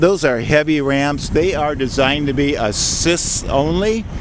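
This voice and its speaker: A man with a fairly high voice speaks at a fairly slow pace with ordinary pitch variation, noticeable background noise behind him. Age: 60s. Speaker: equipment dealer. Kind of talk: sales demonstration. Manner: casual.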